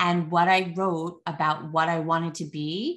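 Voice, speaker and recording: A woman with a New Jersey accent speaks at a fairly low pitch. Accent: New Jersey American. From US, New Jersey. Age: 40s. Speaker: artist and parenting advice creator. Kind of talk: podcast interview. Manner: animated, filler-heavy.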